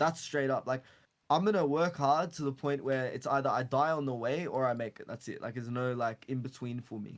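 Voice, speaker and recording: Speaking in an Australian accent, a man talks at a fairly quick pace with a fairly high pitch and ordinary pitch variation. The recording is very clean with a silent background. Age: 20s. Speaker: entrepreneur. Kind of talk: casual chat.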